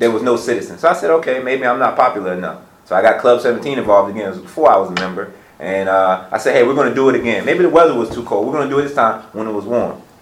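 Someone with an American accent speaks very fast with lively intonation, over audible room echo and noticeable background noise. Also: man, medium pitch for a man. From Petersburg, Virginia. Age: 20s. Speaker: small business owner. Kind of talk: roundtable discussion.

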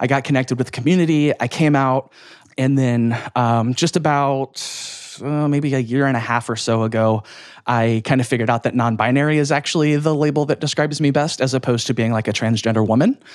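With an unremarkable speaking voice, a man at medium pitch talks at a fairly quick pace with very even loudness, recorded very cleanly over a silent background. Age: 30s. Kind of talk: casual interview.

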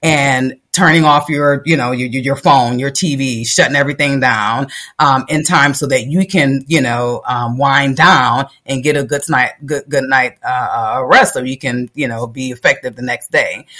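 The voice has an American accent and a bright, sharp tone, with fairly even intonation. It moves at a fairly slow pace with hardly any pauses. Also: woman, very deep, low pitch for a woman. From Minnesota, Minneapolis. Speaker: clinical project manager. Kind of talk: casual interview.

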